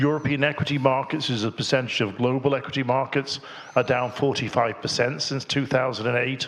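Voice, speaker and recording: There is noticeable background noise behind a man talking at a fairly quick pace. His intonation is flat and monotone. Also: medium pitch for a man. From Ireland. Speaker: financial policy expert, panelist. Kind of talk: panel discussion.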